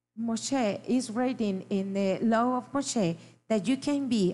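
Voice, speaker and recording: Pitch varies in an ordinary way as the words come at a very slow pace. Behind them, all is quiet. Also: woman. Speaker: interpreter. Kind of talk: live interpretation. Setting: live stream. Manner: halting.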